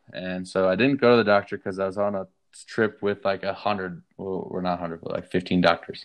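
Here a man with an American accent has a very deep, low pitch. He moves at a fairly quick pace with fairly even intonation. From Colorado (Durango). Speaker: musician. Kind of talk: casual chat.

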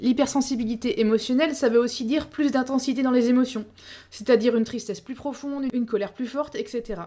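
A woman talks at a very fast pace with a high pitch. Her intonation stays fairly even. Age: 30s. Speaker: podcast host. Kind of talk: solo educational podcast.

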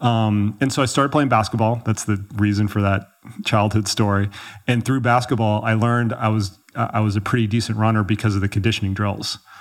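Someone with an American accent talks at a fairly quick pace. The delivery is monotone and flat, at very even loudness. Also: man, fairly low pitch for a man. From Texas, Dallas. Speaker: ultrarunning coach. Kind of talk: casual interview chat. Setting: in person in Chamonix, France.

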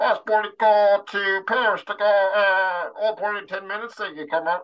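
Using a put-on character voice, a woman speaks at a moderate pace and a medium pitch. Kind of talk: announcement.

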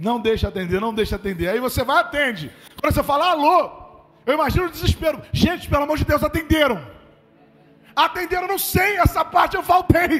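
A man speaks at a fairly quick pace with an extremely high pitch, an animated tone and lively intonation. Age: 30s. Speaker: pastor. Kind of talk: sermon. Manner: conversational, animated.

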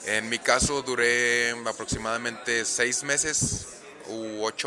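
Medium pitch from a man, ordinary pitch variation, and noticeable background noise. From Monterrey, northern Mexico. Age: 20s. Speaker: professional wrestler. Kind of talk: casual interview. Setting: in person.

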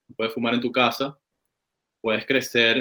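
A man speaks at a moderate pace with a Venezuelan accent. His pitch is medium and his intonation is flat and monotone. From Caracas, Venezuela. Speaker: cannabis grower. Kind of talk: casual chat. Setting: call.

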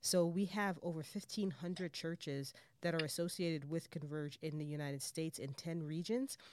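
On a very clean recording with a silent background, a woman speaks in a normal speaking voice, fairly low in pitch with ordinary pitch variation, at a moderate pace with hardly any pauses. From Jamaica, raised in New York City. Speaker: missions director, former missionary. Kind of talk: interview conversation.

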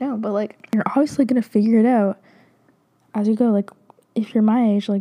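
Speaking at a moderate pace, a woman uses a dark, mellow tone and fairly even intonation. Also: medium pitch for a woman.

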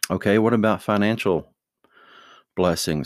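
A man with vocal fry and a relaxed tone at a fairly slow pace, dry and close with no echo, on a very clean recording with a silent background. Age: 50s. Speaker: father giving life advice to his children. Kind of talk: casual monologue with religious advice. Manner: relaxed, hesitant with fillers.

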